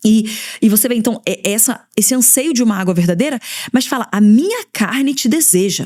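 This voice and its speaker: The voice has an animated tone and moves at a fairly quick pace. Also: woman. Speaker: pastor and podcast host. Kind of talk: devotional teaching. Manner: fast.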